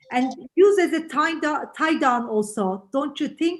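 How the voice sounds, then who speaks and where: Slowish and with lively intonation, a woman speaks with a strong non-native accent. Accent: heavy foreign. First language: not English. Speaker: real estate agent. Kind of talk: role-play feedback in online session. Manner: halting.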